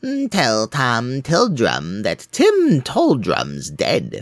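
Speaking at a very slow pace, a man uses a put-on character voice.

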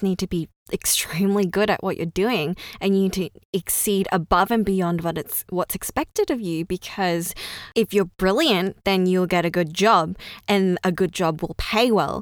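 A woman with an Australian accent, medium in pitch, at a moderate pace, in a dry, close sound with no echo. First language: Cantonese. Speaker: podcast host. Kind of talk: solo monologue podcast, personal storytelling.

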